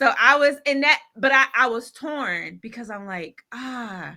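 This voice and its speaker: A woman talks very slowly with an American accent. Her tone is bright and sharp. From South Carolina, Greenville. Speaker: life coach and author. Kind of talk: podcast interview. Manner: animated, emphatic.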